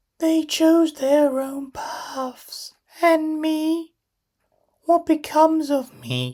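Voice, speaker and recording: Using a put-on character voice, a woman speaks very slowly at a high pitch with monotone, flat intonation. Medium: read story. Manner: scornful, defiant.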